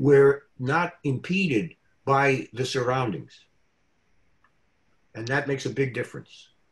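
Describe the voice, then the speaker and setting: This man has a fairly high, somewhat breathy voice with ordinary pitch variation. He talks at a fairly slow pace with long, frequent pauses. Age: 90s. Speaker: real estate lawyer and business coach. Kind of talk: interview. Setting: video call. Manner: halting.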